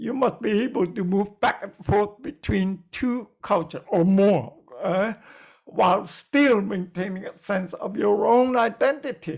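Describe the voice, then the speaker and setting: A man with a non-native accent, high-pitched and with ordinary pitch variation, on a very clean recording with a silent background. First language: not English. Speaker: lecturer. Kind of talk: lecture. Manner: halting, many fillers.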